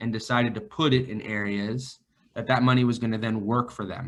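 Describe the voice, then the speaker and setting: A man speaks at a moderate pace and a medium pitch, with an American accent. He has an unremarkable speaking voice and fairly even intonation. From northern California, Vacaville. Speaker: financial advisor. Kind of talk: podcast interview.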